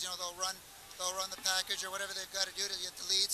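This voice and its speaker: A man with a Canadian accent talks very fast in a raised, projected voice that sits high for a man, over noticeable background noise. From Canada. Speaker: pro gamer. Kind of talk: interview. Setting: event floor.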